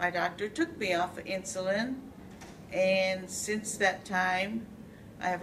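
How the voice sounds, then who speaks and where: Over noticeable background noise, a woman speaks very slowly at a medium pitch, with fairly even intonation and very even loudness. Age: 60s. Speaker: tai chi class participant. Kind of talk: testimony.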